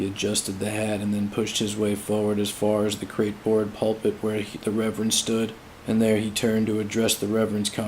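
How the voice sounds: The voice is a natural reading voice. Words are read out in it.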